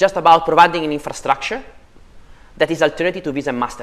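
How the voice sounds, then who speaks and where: A high-pitched man is speaking. He talks in an Italian accent. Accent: Italian accent, clearly audible. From Italy. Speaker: policy researcher on digital finance. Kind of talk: panel discussion.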